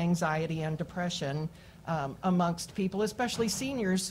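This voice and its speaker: The voice is somewhat breathy. It carries an American accent. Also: woman. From Kansas City, Missouri. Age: 60s. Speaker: mental health therapist. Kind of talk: public hearing testimony.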